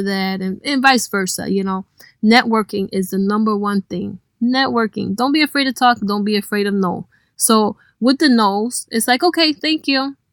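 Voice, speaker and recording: An ordinary speaking voice from a woman comes at medium pitch and moderate pace with ordinary pitch variation, dry and close with no echo on a very clean recording against a silent background. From Cleveland, Ohio. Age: 30s. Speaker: DJ. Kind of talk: casual interview.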